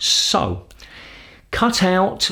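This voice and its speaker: A man with a British accent is heard on a very clean recording, the background completely silent. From London. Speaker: English teacher. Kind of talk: educational explanation to camera.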